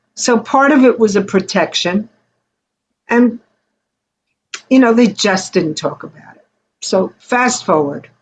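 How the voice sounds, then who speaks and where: A woman speaks fairly slowly in a fairly high, somewhat breathy voice, leaving long, frequent pauses. Her intonation is lively and her loudness swings widely. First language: Yiddish. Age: 70s. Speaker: Holocaust survivor's child and singer. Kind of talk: interview.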